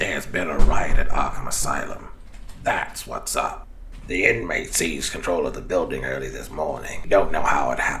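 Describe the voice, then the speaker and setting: Over clear background noise, a man in a raspy, put-on character voice talks at a fairly quick pace. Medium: cartoon. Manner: urgent, worried.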